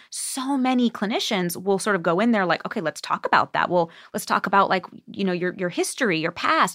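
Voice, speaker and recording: A woman speaks in a normal speaking voice at a medium pitch, with lively intonation and a fairly quick pace. The sound is dry and close with no echo, on a very clean recording with a silent background. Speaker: psychotherapist specializing in anxiety and OCD. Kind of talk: casual interview.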